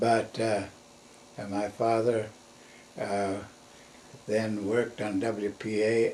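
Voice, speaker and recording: Speaking in an American accent at a very slow pace with long, frequent pauses, a man keeps a fairly low pitch and monotone, flat intonation. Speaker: grandfather recalling family history. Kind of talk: interview answer. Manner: halting, rambling.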